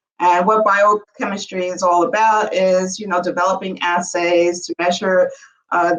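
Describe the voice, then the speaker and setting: A woman talks at a moderate pace in a New York accent. Her medium pitch stays in monotone, flat intonation. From New York City. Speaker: bioanalytical chemistry entrepreneur. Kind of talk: podcast interview.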